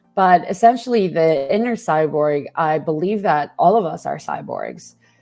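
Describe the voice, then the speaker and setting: Music plays in the background as a woman speaks at a moderate pace. Her voice is fairly low in pitch, with lively intonation. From Mexico. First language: Spanish. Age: 30s. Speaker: journalism lecturer and investigative reporter. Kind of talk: interview.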